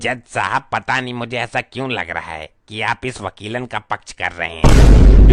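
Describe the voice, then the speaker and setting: At a moderate pace, a man does a cartoonish character voice at medium pitch. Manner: rustic, cheeky.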